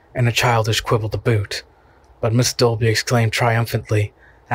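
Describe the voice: What is heard is plain reading aloud.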